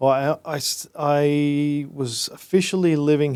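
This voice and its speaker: A man speaks with an Australian accent at a fairly slow pace. His pitch is fairly high and his intonation fairly even. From Australia, Brisbane. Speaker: entrepreneur. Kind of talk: casual interview.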